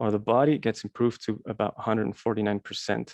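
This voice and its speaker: A man with a non-native accent speaks at medium pitch and a moderate pace. The sound is dry and close, with no echo. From Switzerland. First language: Swiss German. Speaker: alternative health presenter. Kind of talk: presentation. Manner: hesitant with many fillers.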